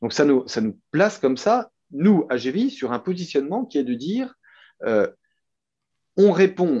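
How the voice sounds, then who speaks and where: A man with a Franche-Comté accent speaks in a dark, mellow tone with very wide pitch swings. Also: quiet background. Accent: Franche-Comté regional French. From France, Franche-Comté. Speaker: company co-founder. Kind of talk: interview. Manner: hesitant, many fillers and repeats.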